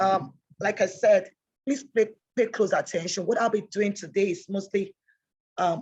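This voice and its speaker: A woman's voice, somewhat breathy, rises and falls with ordinary pitch variation. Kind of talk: online training lecture. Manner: fast.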